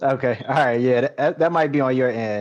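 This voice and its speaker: Fairly quick delivery from a man at medium pitch. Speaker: livestream interview host. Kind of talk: casual chat. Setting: video call. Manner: soft-spoken. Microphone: too quiet for the guest.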